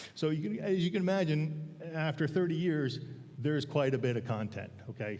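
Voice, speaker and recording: This man talks at a moderate pace with lively intonation. The room gives off audible echo. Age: 60s. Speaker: church elder giving a sermon. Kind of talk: sermon. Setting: church pulpit with congregation. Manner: halting, many fillers.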